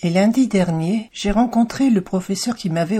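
A woman's dark, mellow, somewhat breathy voice with ordinary pitch variation. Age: 60s. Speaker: podcast host and cancer survivor. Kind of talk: personal testimony. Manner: slow.

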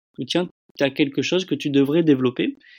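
Recorded with a dry, close sound and no echo, a man talks at a moderate pace in a fairly high pitch. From France, Bordeaux. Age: 30s. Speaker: solo traveller. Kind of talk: testimony. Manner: halting, repeats words.

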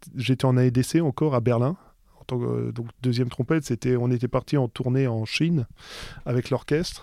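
The voice has a dark, mellow tone and fairly even intonation at a moderate pace. The sound is dry and close with no echo, on a very clean recording with a silent background. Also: man, medium pitch for a man. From France, Alsace. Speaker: orchestral trumpeter. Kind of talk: interview. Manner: halting, many hesitations.

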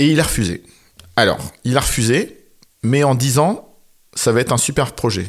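At a moderate pace and medium pitch, a man talks with long, frequent pauses, ordinary pitch variation and very even loudness. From northern France, near Valenciennes. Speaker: film director. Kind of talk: interview. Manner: halting.

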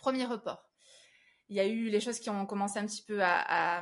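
Here a woman speaks at a medium pitch. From southern France, Avignon. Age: 30s. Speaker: singer. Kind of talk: interview, personal testimony. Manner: halting, frequent repetitions.

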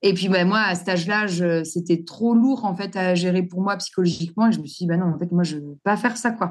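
A woman's unremarkable speaking voice at medium pitch, fairly quick in pace with hardly any pauses. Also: ordinary pitch variation, quiet background. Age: 40s. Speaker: entrepreneur, former hairdresser and wigmaker. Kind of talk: interview.

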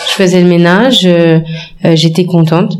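Audible room echo and noticeable background noise surround a woman's voice. She talks at a fairly slow pace and a fairly low pitch. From France. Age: 20s. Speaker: business consultant. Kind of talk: casual interview. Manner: halting.

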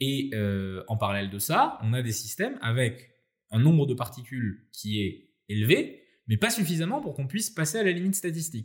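Medium-pitched, somewhat breathy male voice at a moderate pace, with very wide pitch swings, in a very clean recording with a silent background. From France, Nice. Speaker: AI entrepreneur and researcher. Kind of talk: interview conversation.

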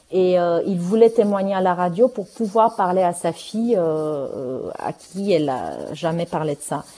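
With a dark, mellow tone, a woman speaks at a medium pitch and with ordinary pitch variation. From Romania. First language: Romanian (speaking French). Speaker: playwright and novelist. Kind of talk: interview. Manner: halting, many repetitions.

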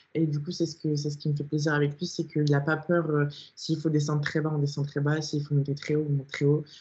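Somewhat breathy and very deep in pitch, a woman speaks at a fairly quick pace in a monotone, flat intonation. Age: 20s. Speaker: online fitness coach and bodybuilding athlete. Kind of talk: casual interview chat.

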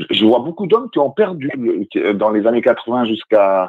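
Here is a man with a plain, everyday voice at medium pitch. He speaks at a fairly slow pace with lively intonation. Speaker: radio guest. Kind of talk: casual chat. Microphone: phone line changes his voice.

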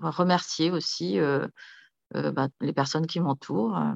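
A woman speaks over a quiet background. The sound is dry and close, with no echo. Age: 50s. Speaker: entrepreneur. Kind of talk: casual chat. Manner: halting.

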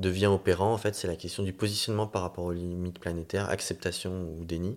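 A man's very deep, low voice in monotone, flat intonation, at a fairly quick pace. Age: 30s. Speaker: city councillor and climate training director. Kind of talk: casual interview.

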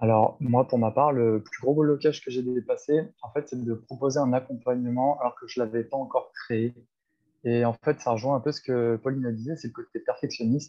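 The delivery comes at a fairly quick pace in a monotone with flat intonation. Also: man, medium pitch for a man. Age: 30s. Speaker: life coach. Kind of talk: casual chat.

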